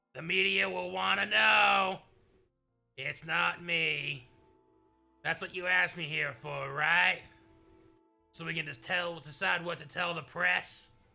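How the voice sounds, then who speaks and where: A man's raspy put-on character voice, fairly high-pitched with very wide pitch swings, at a fairly slow pace with long, frequent pauses over faint background music. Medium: game stream. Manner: direct, businesslike.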